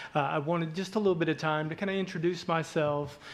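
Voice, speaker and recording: Speaking at a moderate pace, a man with a fairly high pitch talks with a Southern US accent. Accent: Southern twang. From southeast Arkansas. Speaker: hospital executive. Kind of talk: community presentation. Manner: halting, many fillers.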